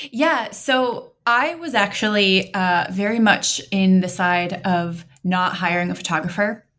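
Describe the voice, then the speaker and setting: A woman with an American accent talks at a fairly slow pace with hardly any pauses. Hers is a plain, everyday voice of medium pitch with ordinary pitch variation. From Montana, US. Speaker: bride-to-be. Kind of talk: casual chat.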